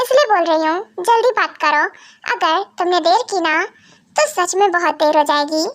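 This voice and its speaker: Putting on a character voice, a woman speaks at an extremely high pitch with very wide pitch swings and a moderate pace. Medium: fan dub. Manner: emotional, pleading.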